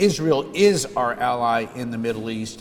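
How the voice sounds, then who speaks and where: A man with an American accent speaks at a fairly slow pace over noticeable background noise. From US Northeast and Midwest. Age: 60s. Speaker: politician. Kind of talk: speech.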